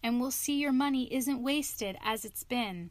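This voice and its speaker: A woman puts on a high-pitched character voice. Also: moderate pace. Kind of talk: bedtime story reading. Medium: read story.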